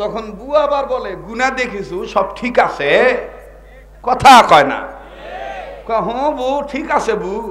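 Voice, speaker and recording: The voice has lively intonation, and there is noticeable background noise. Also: man, extremely high pitch for a man. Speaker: Islamic preacher. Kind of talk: waz sermon to a live crowd. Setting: live outdoor gathering with microphone and PA. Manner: loud, call-and-response, conversational, humorous.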